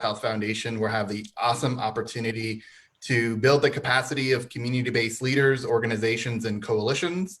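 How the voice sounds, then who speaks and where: A man with an American accent and a plain, everyday voice talks at a fairly quick pace. His pitch is medium and his intonation fairly even. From southern Arizona. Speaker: nonprofit foundation officer. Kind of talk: panel discussion.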